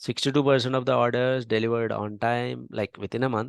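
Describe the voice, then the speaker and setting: A man's medium-pitched voice with an Indian accent, very fast delivery and fairly even intonation, in a dry, close sound with no echo. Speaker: data science instructor. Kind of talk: tutorial.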